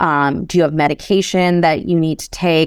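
A woman speaks in a plain, everyday voice with a fairly low pitch and fairly even intonation. The recording is very clean, with a silent background. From US Midwest, Chicago. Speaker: real estate investor and entrepreneur. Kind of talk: interview conversation. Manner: fast, run-on speech.

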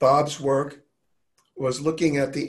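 Very slowly, a man with an American accent speaks at a fairly high pitch, somewhat breathy and with fairly even intonation. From New York. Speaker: health and wellness advocate. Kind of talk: casual chat.

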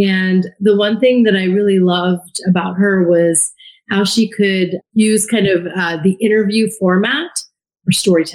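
A woman in a normal speaking voice talks at a fairly slow pace in a medium pitch, with very even loudness and fairly even intonation. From US (immigrated from India at age two). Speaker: former TV journalist turned podcaster. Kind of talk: interview conversation.

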